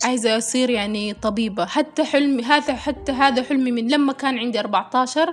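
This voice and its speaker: A woman's high voice at a moderate pace, with ordinary pitch variation and hardly any pauses. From South Sudan, raised in Khartoum, Sudan. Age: 20s. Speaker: fashion model and social media creator. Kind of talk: personal testimony interview.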